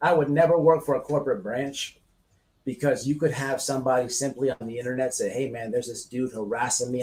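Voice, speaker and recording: A man speaks with an American accent at a fairly quick pace. His voice is somewhat breathy. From United States. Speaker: online radio host. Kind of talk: heated discussion. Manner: animated.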